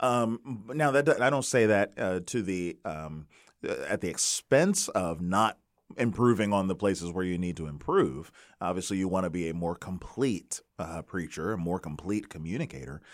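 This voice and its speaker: A man with a very deep, low pitch speaks at a moderate pace with lively intonation. The recording is very clean, with a silent background. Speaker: pastor and podcast co-host. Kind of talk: casual chat. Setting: studio. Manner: halting, many fillers and repetitions.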